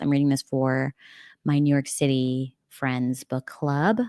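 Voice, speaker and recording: A woman with an American accent, recorded very cleanly against a silent background, with a dry, close sound and no echo. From United States. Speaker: book streamer. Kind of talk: casual chat. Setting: livestream at home. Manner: casual, filler-heavy.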